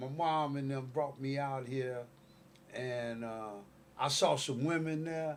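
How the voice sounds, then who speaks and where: Audible room echo surrounds a man who talks at a very slow pace with long, frequent pauses. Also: fairly high pitch for a man, fairly even intonation. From Chicago, South Side. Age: 60s. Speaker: activist, local movement founder. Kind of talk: casual interview. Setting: studio couch.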